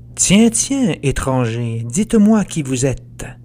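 A man speaks at a very slow pace. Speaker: author and podcast narrator. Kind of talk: dramatic verse narration, retelling the Odyssey as a gripping epic tale; scripted narration with a promo intro and outro. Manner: theatrical, vivid and suspenseful, with rising menace at the Cyclops scenes.

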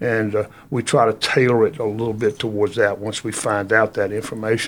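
A fairly low-pitched man's voice at a moderate pace. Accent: Virginia. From Virginia, Halifax County. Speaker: historical tour guide. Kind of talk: casual interview. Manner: frequent fillers (uh).

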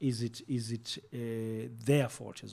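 A somewhat breathy voice with a dark, mellow tone. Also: man. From South Africa, Soweto. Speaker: broadcaster and communications executive. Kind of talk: interview conversation.

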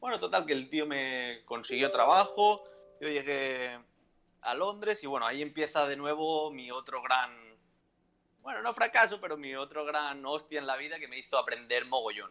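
With music in the background, a man speaks at a moderate pace in a fairly high voice. His intonation is lively, and his loudness swings widely. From Valencia, Spain. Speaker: entrepreneur. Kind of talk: casual interview.

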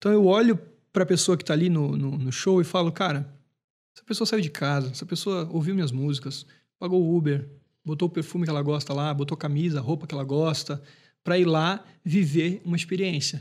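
A plain, everyday voice from a man, fairly high in pitch, fairly quick pace, ordinary pitch variation, in a very clean recording with a silent background. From Brazil, Brusque, Santa Catarina. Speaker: singer-songwriter. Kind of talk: casual chat.

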